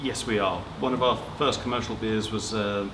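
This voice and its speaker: Noticeable background noise and audible room echo surround a man speaking fairly quickly at a fairly low pitch in a southern English accent. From Watford, southern England. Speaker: brewer. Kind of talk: interview.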